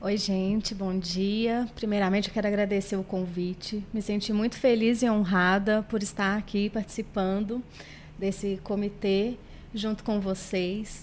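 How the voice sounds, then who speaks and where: A woman's medium-pitched voice carries a monotone, flat intonation. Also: fairly slow pace. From Brazil, Barbacena, Minas Gerais. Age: 30s. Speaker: guest, nursing technician and makeup artist. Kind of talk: podcast interview.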